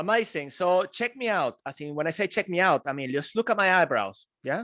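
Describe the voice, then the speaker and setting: On a very clean recording with a silent background and a dry, close sound with no echo, a man with a Venezuelan accent and a high pitch speaks at a moderate pace in an energetic, playful tone with very wide pitch swings. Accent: Spanish-speaking, Venezuelan. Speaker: public speaker. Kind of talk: live keynote talk to audience.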